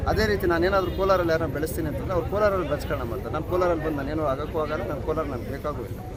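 The man's pitch is fairly high, with ordinary variation. Audible room echo and noticeable background noise surround his voice. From Karnataka, Malur taluk, Kolar district. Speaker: youth wing politician. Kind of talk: press interview.

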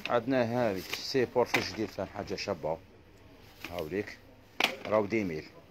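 Amid loud background noise, a man with an Algerian accent talks at a moderate pace, with ordinary pitch variation and long, frequent pauses. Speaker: shop seller. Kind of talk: live sales stream. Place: shop. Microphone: phone near.

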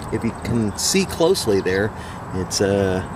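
Over noticeable background noise, a man speaks at a very slow pace in a dry sound with no echo. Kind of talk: casual vlog chat. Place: tent. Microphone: phone near.

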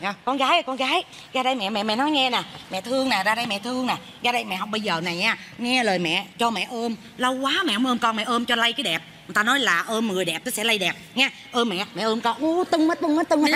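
A woman speaks at a very fast pace. Light background noise can be heard. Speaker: comedy actor playing a mother. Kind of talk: comedic stage dialogue. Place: stage. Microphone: headset.

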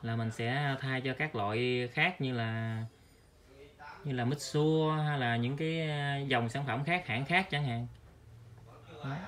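Fairly bright in tone, a man's voice sits at a medium pitch with fairly even intonation.

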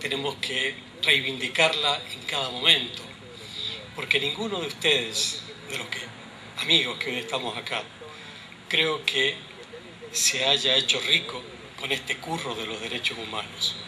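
There is noticeable background noise behind a man speaking. He goes fairly slowly, with long, frequent pauses. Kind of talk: public speech. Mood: earnest, political. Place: street. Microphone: podium.

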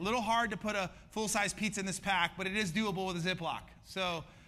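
A man speaks at a very fast pace in a bright, sharp tone. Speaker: pastor. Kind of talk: sermon. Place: stage. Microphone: headset.

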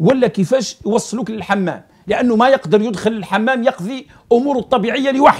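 Against a quiet background, a man speaks at an extremely high pitch. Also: ordinary pitch variation, moderate pace. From Algeria. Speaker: political commentator. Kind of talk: political commentary monologue. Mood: critical, sarcastic. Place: studio.

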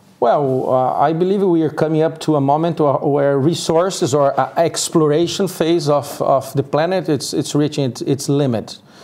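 This man's voice is fairly high, with fairly even intonation and very even loudness. He keeps a moderate pace with hardly any pauses. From Brazil, Sao Paulo. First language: Portuguese. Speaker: co-working community organizer; guest. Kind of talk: interview. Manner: halting. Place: studio. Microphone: lapel.

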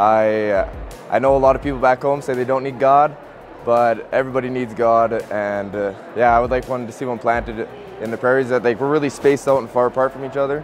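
Music plays in the background as a man speaks at a fairly quick pace. His intonation is fairly even, and the sound is dry with no echo. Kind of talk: interview answer. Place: hall. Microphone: lapel.

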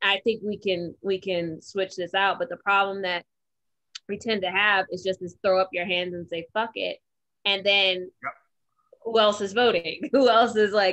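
Against a quiet background, a woman with an American accent speaks at a fairly slow pace in a bright, sharp tone with fairly even intonation. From Detroit, US Midwest. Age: 30s. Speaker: podcast co-host. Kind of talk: casual chat. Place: home room. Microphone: video call.

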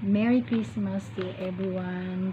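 Loud background noise behind a woman talking very slowly. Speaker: vlogger. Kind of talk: casual vlog chat. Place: home room. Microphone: phone near.

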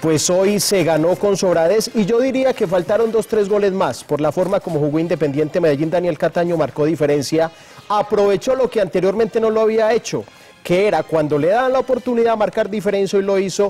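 The man talks at a fairly quick pace, his high pitch moving with ordinary variation. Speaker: sports commentator. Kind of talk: commentary. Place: studio. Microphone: lapel.

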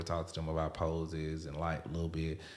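With a Southern US accent, a man talks in a very deep, low pitch. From US South (Alabama). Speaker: podcast host and photographer. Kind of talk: casual interview.

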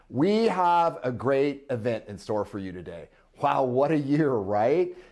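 Over a quiet background, a man with a dark, mellow tone speaks at a fairly slow pace, his pitch swinging very widely. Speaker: company executive host. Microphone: lapel.

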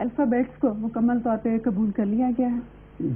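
A woman speaks with a fairly high pitch. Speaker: TV host. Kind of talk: TV show host introduction. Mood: calm, polite, formal. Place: studio. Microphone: lapel.

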